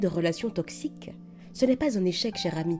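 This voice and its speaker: With music in the background, a woman speaks at a moderate pace. Her tone is gentle and warm, with very wide pitch swings. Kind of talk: soothing comfort message to camera. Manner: soft, gentle, warm.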